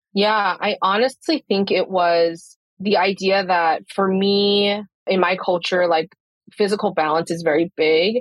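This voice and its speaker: A woman's unremarkable speaking voice at medium pitch, very even in loudness, at a fairly slow pace. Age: 20s. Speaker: photographer and nutrition client. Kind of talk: interview. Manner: casual, many fillers.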